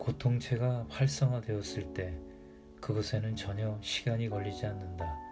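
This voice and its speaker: Over music in the background, a man speaks fairly slowly at a fairly low pitch with ordinary pitch variation. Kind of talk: audiobook reading. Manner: calm, soothing.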